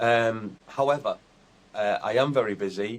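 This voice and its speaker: This man talks in a Teesside accent. His pace is fairly slow, with ordinary pitch variation. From north-east England, Teesside (Billingham). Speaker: comedian, tribute act. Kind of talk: interview.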